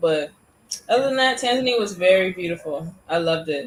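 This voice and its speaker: With an American accent, a woman speaks at a moderate pace over noticeable background noise. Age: 20s. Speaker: YouTuber. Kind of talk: interview. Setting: live stream.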